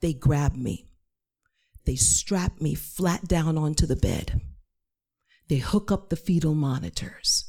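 The voice is dark, mellow and somewhat breathy, moving at a very slow pace on a very clean recording with a silent background. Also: woman. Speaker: storyteller, performing artist and chaplain. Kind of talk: live storytelling. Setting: stage with audience. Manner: animated.

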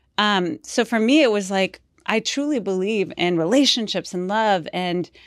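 An unremarkable speaking voice with an American accent and ordinary pitch variation. The recording is very clean with a silent background. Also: woman. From Houston, Texas. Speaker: sex therapist. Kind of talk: casual chat.

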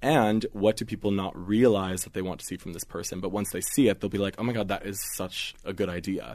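In a normal speaking voice with ordinary pitch variation, the speaker moves at a fairly quick pace with hardly any pauses over a quiet background. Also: man, fairly low pitch for a man. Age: 20s. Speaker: magazine digital director. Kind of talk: casual interview.

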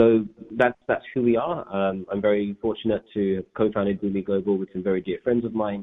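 At a fairly quick pace, a man speaks in a fairly low voice with fairly even intonation. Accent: London. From England, grew up in Northwest London. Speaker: environmental nonprofit co-founder. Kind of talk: interview. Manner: halting, many fillers and repeats.

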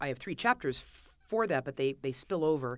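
A woman with a Californian accent, very deep and low-pitched, lively in intonation, in a very clean recording with a silent background. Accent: Californian American. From Los Angeles, California. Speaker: author. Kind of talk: interview. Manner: halting.

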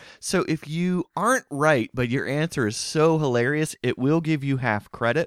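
With an unremarkable speaking voice, a man at a fairly high pitch talks at a moderate pace with hardly any pauses, ordinary pitch variation and very even loudness, on a very clean recording with a silent background. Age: middle-aged. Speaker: trivia podcast host. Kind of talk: casual chat with trivia quiz.

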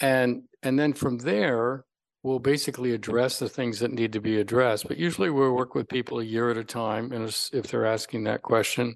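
A man with an unremarkable speaking voice talks at a fairly quick pace with hardly any pauses. His medium pitch holds a fairly even intonation against a quiet background. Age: 60s. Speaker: longevity physician. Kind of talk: interview.

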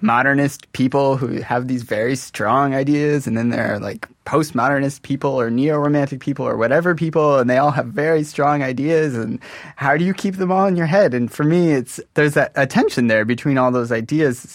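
A man's normal speaking voice, pitched fairly high, at a moderate pace with ordinary pitch variation. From US Midwest and California (Modesto). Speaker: composer. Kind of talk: interview.

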